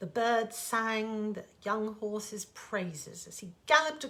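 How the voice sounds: A natural reading voice carries the clip.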